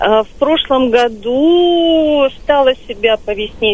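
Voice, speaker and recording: Lively intonation in a high female voice. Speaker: radio caller, ex-smoker. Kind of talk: phone-in testimony. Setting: phone call.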